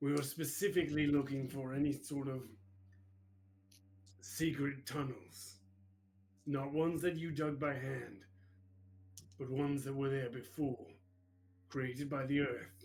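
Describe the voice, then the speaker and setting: A put-on character voice at a moderate pace, with ordinary pitch variation and long, frequent pauses. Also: man, fairly high pitch for a man. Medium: actual play. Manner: terse, dry.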